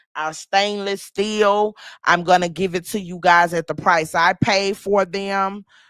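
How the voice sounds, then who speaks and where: A woman speaks with a Louisiana accent and fairly even intonation. The recording is very clean, with a silent background. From US South, Shreveport, Louisiana. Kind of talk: sales pitch; casual livestream chat.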